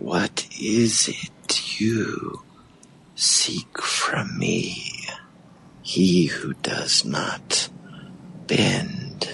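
A man whispers in a put-on character voice at a very slow pace. He leaves long, frequent pauses. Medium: actual play. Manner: slow, cryptic, ominous.

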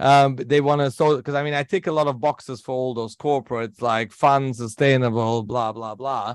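At a fairly quick pace and with hardly any pauses, a man talks at a medium pitch with fairly even intonation. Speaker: entrepreneur. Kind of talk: interview. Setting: remote interview. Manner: laughs often; cheerful.

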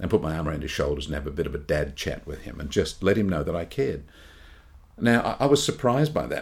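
A very deep, low-pitched man's voice, somewhat breathy, very fast, with very wide pitch swings. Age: 60s. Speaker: podcast co-host. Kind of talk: casual chat.

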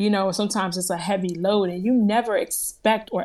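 Using an ordinary speaking voice, a woman with an American accent speaks at medium pitch and a moderate pace. Her intonation is fairly even, and the recording is very clean with a silent background. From US Northeast, New Jersey. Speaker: motivational speaker and former broadcaster. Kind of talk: interview testimony.

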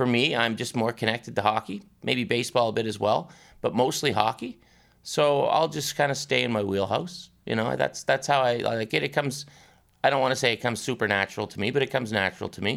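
A man's medium-pitched voice with vocal fry at a very fast pace, ordinary pitch variation, in a very clean recording with a silent background. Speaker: sports anchor and author. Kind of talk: casual interview chat. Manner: storyteller, animated.

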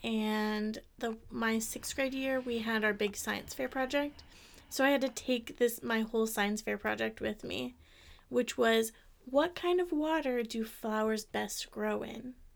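In an American accent, a woman with a normal speaking voice talks at a fairly slow pace, her fairly high pitch showing ordinary variation. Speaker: podcast co-host. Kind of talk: casual chat.

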